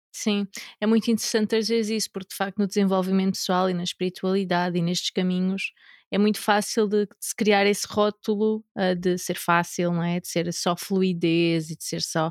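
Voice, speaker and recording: A woman's monotone, flat voice comes through a very clean recording with a silent background and a dry, close sound with no echo. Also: medium pitch for a woman, moderate pace, big swings in loudness. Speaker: podcast host, women's empowerment coach. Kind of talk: casual chat.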